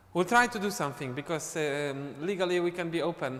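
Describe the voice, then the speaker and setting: A man with a Polish accent. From Poland. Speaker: dance teacher. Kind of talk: live stream chat. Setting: live online stream.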